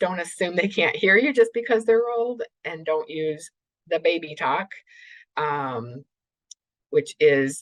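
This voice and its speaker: Very slow and full of long, frequent pauses, the speech moves through very wide pitch swings. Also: woman, fairly low pitch for a woman. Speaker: clinical neuropsychologist presenter. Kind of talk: webinar lecture. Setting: remote webinar. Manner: deliberately slowed, with brief pauses.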